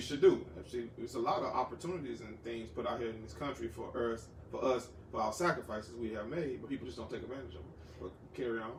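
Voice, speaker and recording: Against noticeable background noise, a man of medium pitch talks at a very fast pace with lively intonation. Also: big swings in loudness. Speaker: podcast host. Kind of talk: podcast interview host.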